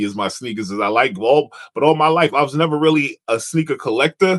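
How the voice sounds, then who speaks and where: In a bright, sharp tone with an American accent, the speaker moves at a fairly quick pace with lively intonation, the sound dry and close with no echo against a quiet background. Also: man. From New York area. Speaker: podcast host. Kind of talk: casual interview chat.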